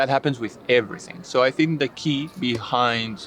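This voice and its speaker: Noticeable background noise sits behind a voice moving at a fairly quick pace with a Spanish accent. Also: man. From Spain. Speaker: English teacher. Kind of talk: interview.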